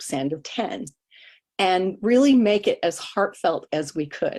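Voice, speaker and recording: A woman speaks at a fairly slow pace with very wide pitch swings. The recording is very clean, with a silent background. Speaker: greeting card business distributor. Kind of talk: testimony.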